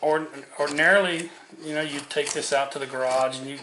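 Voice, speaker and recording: A man talking at a fairly quick pace, with audible room echo and noticeable background noise. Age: 60s. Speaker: woodcarving instructor. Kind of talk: tutorial. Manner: casual, repeats words.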